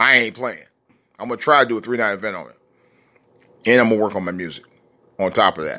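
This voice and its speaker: A man talks at a very fast pace in a bright, sharp, animated tone with ordinary pitch variation. He leaves long, frequent pauses. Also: medium pitch for a man. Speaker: DJ and vlogger. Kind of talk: angry rant, profane vlog-style monologue. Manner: animated, exasperated, conversational; rambling, halting with repeated words.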